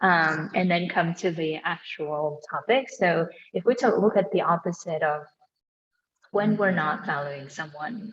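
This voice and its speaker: Somewhat breathy, a woman speaks at a fairly low pitch and a fairly slow pace. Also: ordinary pitch variation. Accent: non-native. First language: not English. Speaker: podcast host. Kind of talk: casual chat.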